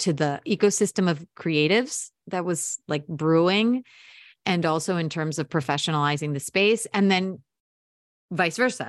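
In a General American accent, a woman with a normal speaking voice talks at a moderate pace with lively intonation, the sound dry and close with no echo and the recording very clean against a silent background. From US Mid-Atlantic. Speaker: podcast producer and audio storyteller. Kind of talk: interview.

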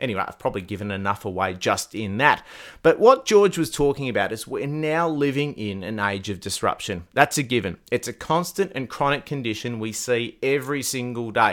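A man with an Australian accent speaks at a medium pitch with lively intonation, in a very clean recording with a silent background. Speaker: podcast host. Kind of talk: podcast interview.

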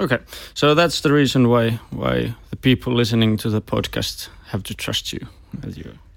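A man with a Finnish accent, moderate pace and big swings in loudness. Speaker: podcast host. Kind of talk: interview.

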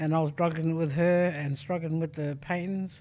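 A woman with an Australian accent speaks at a fairly low pitch. The recording is very clean, with a silent background. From South Australia. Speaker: artist. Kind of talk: interview.

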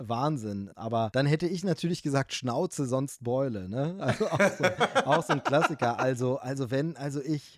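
Recorded very cleanly against a silent background, a man with a plain, everyday voice speaks at a moderate pace, fairly high in pitch, with ordinary pitch variation. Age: 40s. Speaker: film podcaster. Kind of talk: casual chat.

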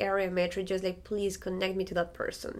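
A woman speaks with a Spanish accent at a medium pitch. The recording is very clean, with a silent background. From Ecuador, Andes. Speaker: violinist. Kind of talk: interview.

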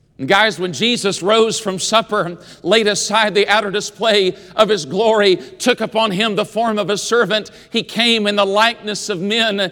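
A man with an American accent, high-pitched, at a fairly slow pace with ordinary pitch variation. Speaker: preacher. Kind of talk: sermon in chapel. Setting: college chapel with a student audience. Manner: earnest, pulpit-style exhortation with a warm, rising, call-and-response delivery.

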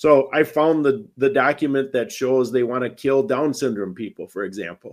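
In an American accent, a man speaks at a moderate pace and a medium pitch. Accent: Wisconsin accent (joked he has none). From Wisconsin. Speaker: bereaved parent and advocate. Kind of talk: interview testimony.

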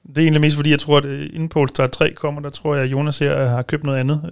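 Delivering his words at a very fast pace, a man speaks in a monotone with flat intonation. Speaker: policy consultant at a motoring organisation. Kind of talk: casual studio discussion. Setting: studio.

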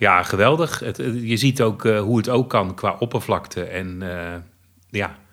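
A man with an ordinary speaking voice and a fairly low pitch talks at a fairly slow pace. The recording is very clean, with a silent background. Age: 50s. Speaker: blind theme park fan. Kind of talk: interview.

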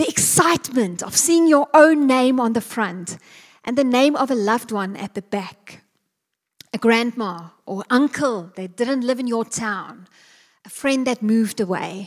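A woman with a plain, everyday voice speaks at a fairly slow pace, her fairly high pitch carried by lively intonation. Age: 40s. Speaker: preacher. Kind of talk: sermon.

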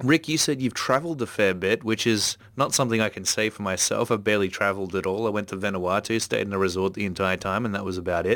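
A very fast, fairly low-pitched male voice with an Australian accent. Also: ordinary pitch variation. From Australia, Melbourne. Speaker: podcast host and comics art teacher. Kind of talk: casual chat. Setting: remote call. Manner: animated.

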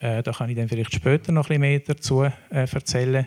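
A man's ordinary speaking voice, medium in pitch, with fairly even intonation and a dry, close sound with no echo. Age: 60s. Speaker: foundation board chair. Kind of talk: panel discussion.

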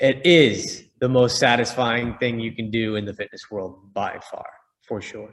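With an American accent and a normal speaking voice, this man talks in a medium pitch with fairly even intonation. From US Northeast, Boston. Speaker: fitness company co-founder and boxing coach. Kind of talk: casual interview.

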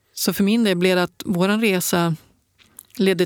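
Recorded very cleanly with a silent background and a dry, close sound with no echo, a woman has an unremarkable speaking voice, medium in pitch, with fairly even intonation at a fairly slow pace. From northern Sweden, Piteå. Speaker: ultrarunner and adventurer. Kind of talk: interview conversation. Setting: studio.

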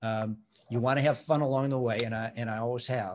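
Recorded very cleanly against a silent background, a man speaks at medium pitch and a moderate pace. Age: 60s. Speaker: retired company CEO. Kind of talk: interview. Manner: halting.

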